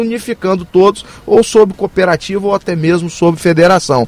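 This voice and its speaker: A man's high pitch and lively intonation at a fairly quick pace, with noticeable background noise and a dry, close sound with no echo. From Brazil, Campos (Rio de Janeiro state). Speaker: mayoral candidate. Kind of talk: radio interview.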